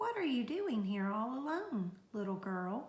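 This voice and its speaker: Put-on character voice, delivered at a fairly slow pace. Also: woman. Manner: feigning friendliness.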